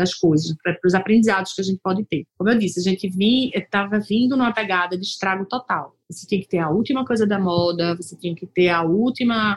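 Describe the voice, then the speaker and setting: Somewhat breathy and at a medium pitch, a woman talks at a fairly quick pace with ordinary pitch variation, the sound dry and close with no echo. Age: 40s. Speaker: lawyer and company founder, podcast host. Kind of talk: solo podcast monologue. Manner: casual, conversational.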